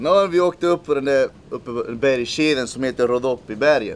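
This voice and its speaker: Amid light background noise, a man talks with a Spanish accent. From El Salvador, raised in Swedish suburbs from age 11. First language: Spanish (speaking Swedish). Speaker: missionary leader. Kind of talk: interview testimony. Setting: outdoors at a game park camp in South Africa. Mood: reflective personal testimony.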